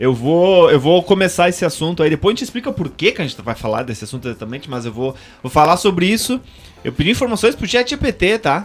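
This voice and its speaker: Music plays in the background as a voice in a Serra Gaúcha accent races at a very fast pace. The pitch swings very widely. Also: man, high pitch for a man. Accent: local Serra Gaúcha. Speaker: podcast host. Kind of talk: reading aloud; casual chat. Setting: radio studio.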